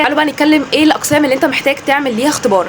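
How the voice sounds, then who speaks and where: Noticeable background noise surrounds a woman's high voice. She talks at a very fast pace with ordinary pitch variation. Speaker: educational YouTuber. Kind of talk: informational vlog.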